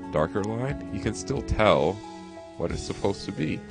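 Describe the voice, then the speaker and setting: Background music accompanies the speech. The delivery has lively intonation. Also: man. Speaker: pixel art tutorial creator. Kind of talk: screen-recorded tutorial narration. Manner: casual, chatty.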